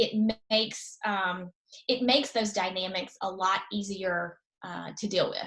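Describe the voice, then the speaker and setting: Fairly slowly and with fairly even intonation, a woman speaks in a Southern US accent. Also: medium pitch for a woman. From eastern North Carolina. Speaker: political strategist. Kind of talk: interview answer.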